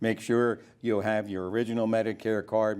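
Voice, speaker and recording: At a fairly slow pace, a man speaks at a medium pitch in a dark, mellow tone, recorded very cleanly against a silent background. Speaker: Medicare specialist. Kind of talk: TV interview. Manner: animated.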